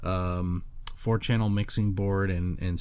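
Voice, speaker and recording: A man's voice, very deep and low in pitch, comes with audible room echo. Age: 40s. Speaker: solo podcaster. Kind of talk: casual monologue. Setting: bedroom home studio. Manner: halting, many fillers. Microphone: studio condenser mic clamped to desk.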